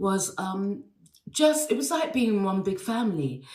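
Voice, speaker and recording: Somewhat breathy speech in an English accent, with very wide pitch swings and audible room echo. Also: woman. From England. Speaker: actress and dancer. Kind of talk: interview anecdote. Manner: hesitant, many fillers and repeats.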